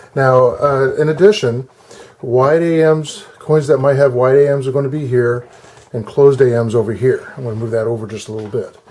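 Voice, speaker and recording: Noticeable background noise sits under the voice. Its pitch rises and falls with ordinary pitch variation. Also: man, medium pitch for a man, fairly quick pace. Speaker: coin collector. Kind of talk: tutorial. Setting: at home desk. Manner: halting; loud.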